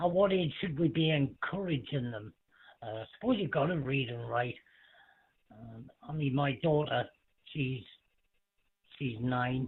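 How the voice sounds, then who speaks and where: Fairly slow speech in a British accent, with ordinary pitch variation, big swings in loudness and long, frequent pauses. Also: man, fairly high pitch for a man. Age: 40s. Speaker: amateur radio net control. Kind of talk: radio net chat. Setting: amateur radio.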